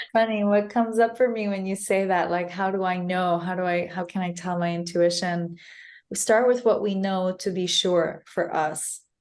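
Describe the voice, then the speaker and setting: Spoken at a moderate pace with fairly even intonation, this is an unremarkable speaking voice with an American accent. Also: woman, medium pitch for a woman. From United States. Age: 30s. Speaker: mental health advocate. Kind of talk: podcast interview.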